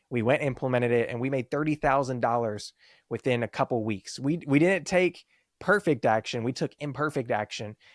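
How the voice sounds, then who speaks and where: An animated man at a medium pitch and fairly quick pace, ordinary pitch variation, in a very clean, dry, close recording with no echo and a silent background. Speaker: business founder, marketing consultant. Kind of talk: podcast interview. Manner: fast.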